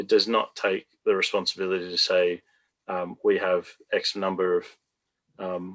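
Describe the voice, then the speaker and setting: A man with an Australian accent speaks at a moderate pace with long, frequent pauses, recorded dry and close with no echo. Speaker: retirement community developer. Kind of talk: panel discussion.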